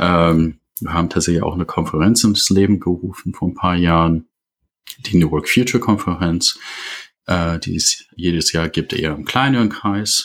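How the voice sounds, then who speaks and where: A man speaks with an English-speaking accent at a moderate pace. His pitch is very deep and low, with ordinary variation. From USA. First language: English (speaking German). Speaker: leadership consultant. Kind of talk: podcast interview. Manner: halting, many fillers.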